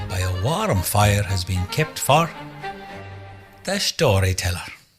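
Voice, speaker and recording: Over music in the background, a man speaks very slowly in a fairly low pitch with very wide pitch swings. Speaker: narrator. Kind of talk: folk tale storytelling for radio.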